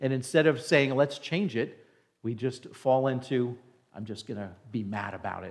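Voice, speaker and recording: A man with an American accent and an unremarkable speaking voice talks at a moderate pace and medium pitch, with ordinary pitch variation and big swings in loudness. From New Jersey, near New York City. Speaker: pastor. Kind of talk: sermon. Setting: church.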